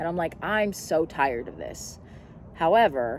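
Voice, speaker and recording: Her pitch fairly low, a woman speaks at a fairly slow pace with very wide pitch swings. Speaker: vlogger. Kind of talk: casual chat.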